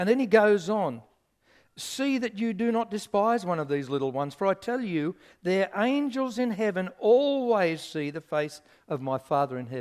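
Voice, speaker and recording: A man with an Australian accent speaks at a moderate pace, his high pitch swinging very widely. The recording is very clean, with a silent background. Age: 60s. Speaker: pastor. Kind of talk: sermon.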